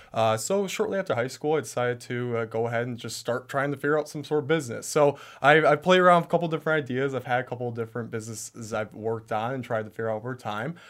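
A man with an Upper Midwest accent talks very fast at a medium pitch, with hardly any pauses and ordinary pitch variation. The recording is very clean, with a silent background. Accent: Upper Midwest American. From Michigan, US Midwest. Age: 20s. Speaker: entrepreneur, business founder. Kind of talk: interview, personal story. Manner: hesitant, many fillers.

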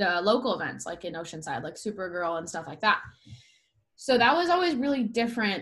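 With an American accent, a woman of medium pitch speaks fairly quickly, her intonation lively. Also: big swings in loudness. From San Diego, California. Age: 20s. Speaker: professional surfer. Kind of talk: casual interview chat.

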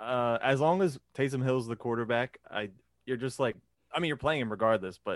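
A man's ordinary speaking voice, an ordinary speaking voice at a fairly quick pace, with ordinary pitch variation and a dry, close sound with no echo. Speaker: fantasy football podcast co-host. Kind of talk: casual chat.

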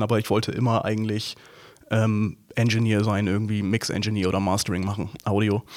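A man at a moderate pace. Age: 30s. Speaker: film editor and motion designer. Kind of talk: casual interview. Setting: studio, sitting face to face. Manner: halting, many fillers.

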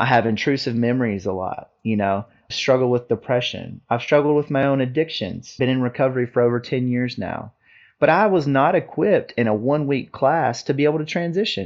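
In a plain, everyday voice, a man speaks at a fairly quick pace and a medium pitch, with ordinary pitch variation. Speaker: Marine Corps veteran and veterans advocate. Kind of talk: interview.

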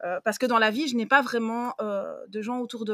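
A woman with a plain, everyday voice and a fairly high pitch speaks at a moderate pace with ordinary pitch variation, the sound dry and close with no echo. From Belgium. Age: 30s. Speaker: book influencer and librarian. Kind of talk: casual chat.

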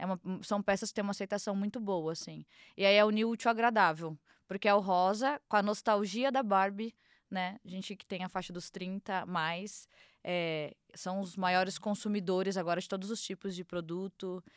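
A woman with an ordinary speaking voice talks at a moderate pace and medium pitch, with fairly even intonation but big swings in loudness. The sound is dry and close with no echo, on a very clean recording with a silent background. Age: 30s. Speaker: fashion agency founder. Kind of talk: casual chat.

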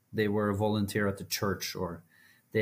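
A man with a Norwegian accent speaks at a fairly low pitch and sounds somewhat breathy. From Norway, small village. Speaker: mental health advocate, foundation CEO. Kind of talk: interview conversation. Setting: remote recording.

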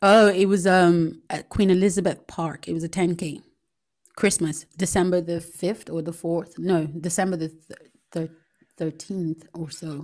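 Her fairly low voice stays monotone and flat as the woman speaks at a fairly slow pace. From Nigeria. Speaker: podcast host. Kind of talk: casual chat.

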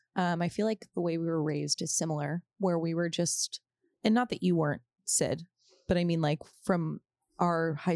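This woman's voice sits fairly low in pitch, and she speaks at a moderate pace. The recording is very clean, with a silent background. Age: 20s. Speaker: podcast co-host. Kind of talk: casual chat. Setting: studio.

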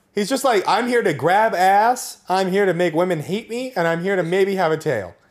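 In a very clean recording with a silent background, a man speaks at a moderate pace in a high voice with ordinary pitch variation. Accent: American. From Napa, California. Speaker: podcast co-host. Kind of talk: casual chat. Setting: recording in person together.

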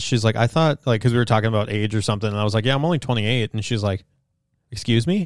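Over a silent background in a very clean recording, a man talks very fast at a medium pitch with ordinary pitch variation. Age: 30s. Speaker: podcast host, car enthusiast. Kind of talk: casual chat.

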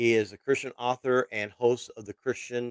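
With a dry, close sound and no echo, a man speaks at a medium pitch and moderate pace in a monotone, flat intonation. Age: 50s. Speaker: podcast host. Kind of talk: casual interview.

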